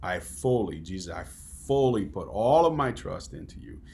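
Speaking at a moderate pace with an American accent, a man uses very wide pitch swings and vocal fry. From US Midwest. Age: 40s. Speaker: podcast host. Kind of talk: interview conversation.

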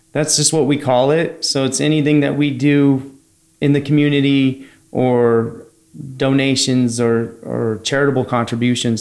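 A plain, everyday voice from a man at medium pitch, with an American accent, fairly even intonation, and a moderate pace. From San Francisco Bay Area, California. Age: 30s. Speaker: HVAC company founder. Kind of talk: casual interview.

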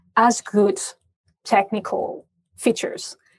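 A woman speaks with a French accent. Her pitch is fairly high. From France. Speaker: payments industry expert. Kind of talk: interview.

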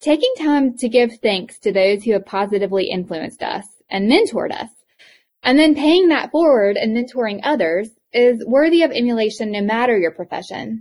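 A woman speaks in a strong Eastern North Carolina accent at a fairly quick pace. Her pitch is fairly high, with lively intonation. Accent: thick Southern (Eastern North Carolina). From US South, Eastern North Carolina. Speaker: podcast host, educator and healthcare provider. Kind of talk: reflective summary; interview conversation.

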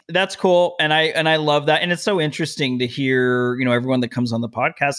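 A man speaks very fast at a medium pitch. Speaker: podcast host. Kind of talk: casual interview chat.

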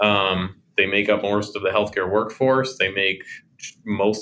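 A man's bright, sharp voice at a fairly slow pace with fairly even intonation. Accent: American. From Oklahoma City, US. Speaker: health insurance company co-founder. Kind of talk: interview.

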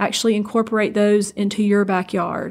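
With a Southern US accent, a woman talks at a fairly quick pace in a medium-pitched voice with flat, monotone intonation. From south Georgia, US. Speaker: agricultural expo marketing executive. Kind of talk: interview.

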